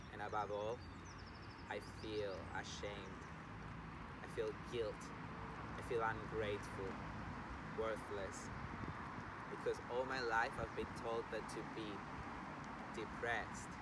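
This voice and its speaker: A man's fairly slow speech with long, frequent pauses, loud background noise and a dry, echo-free sound. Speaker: yoga teacher. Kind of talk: slam poetry reading. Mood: earnest, emotional, vulnerable. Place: waterside.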